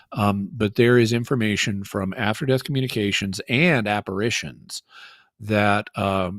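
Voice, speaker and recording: With an American accent, a man speaks at a moderate pace in a fairly low voice with fairly even intonation, the sound dry and close with no echo. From Arkansas Ozarks, Fayetteville. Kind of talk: call-in Q&A, explaining.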